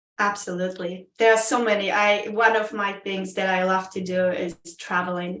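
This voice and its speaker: A woman with a Polish accent speaks at a moderate pace and medium pitch, her intonation monotone and flat, with audible room echo. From Poland. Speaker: Toastmasters club member. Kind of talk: interview. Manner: halting, many fillers.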